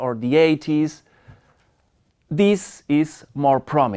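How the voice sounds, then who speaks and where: The voice comes in a Spanish accent. The recording is very clean, with a silent background. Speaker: media studies professor. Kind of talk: lecture. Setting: seminar room with audience. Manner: halting.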